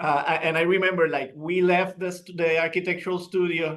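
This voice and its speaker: A man talks with a bright, sharp tone. His pitch sits fairly high. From Puerto Rico. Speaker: architect. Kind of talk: interview. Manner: halting.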